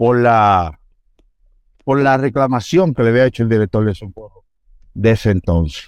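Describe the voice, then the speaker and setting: A man at a medium pitch talks at a fairly slow pace with lively intonation, long and frequent pauses, and a dry, close sound with no echo. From Dominican Republic, Santo Domingo (Los Mina). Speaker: police officer. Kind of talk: interview, life story. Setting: studio.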